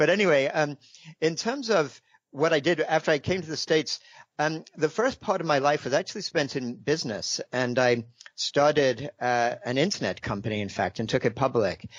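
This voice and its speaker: Lively intonation at a moderate pace. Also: man, fairly high pitch for a man. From England. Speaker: author. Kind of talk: interview. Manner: hesitant, many fillers.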